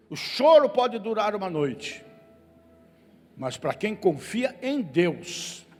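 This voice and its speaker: Over music in the background, a man speaks at a very slow pace with very wide pitch swings. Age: 70s. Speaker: pastor. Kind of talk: sermon. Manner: animated.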